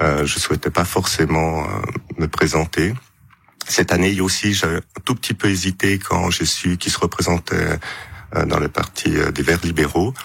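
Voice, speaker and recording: A man with a very deep, low pitch, ordinary pitch variation, and a fairly slow pace, amid noticeable background noise. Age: 50s. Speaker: politician and physician. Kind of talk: radio interview.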